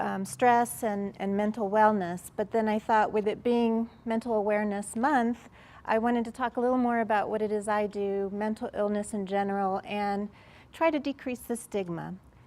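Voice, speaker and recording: Her voice an unremarkable speaking voice, a woman talks at a moderate pace in a fairly high pitch with fairly even intonation on a very clean recording with a silent background. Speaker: psychiatrist. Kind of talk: workshop presentation. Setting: room with live audience.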